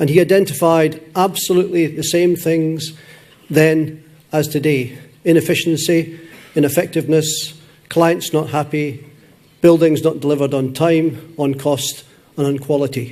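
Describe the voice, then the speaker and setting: A man with a Scottish accent and fairly high pitch, moderate pace, fairly even intonation, and audible room echo. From Scotland. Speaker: conference session moderator. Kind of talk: conference talk.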